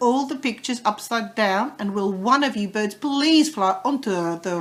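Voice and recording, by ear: A natural voice reading aloud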